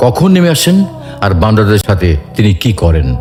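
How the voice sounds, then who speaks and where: With music playing in the background, a man at fairly low pitch makes very wide pitch swings. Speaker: Islamic voice narrator. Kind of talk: religious talk narration.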